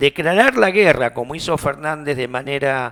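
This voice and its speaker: In a very clean recording with a silent background and a dry, close sound with no echo, a man has an ordinary speaking voice, fairly high in pitch, with ordinary pitch variation at a moderate pace. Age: 60s. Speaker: radio host. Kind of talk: interview.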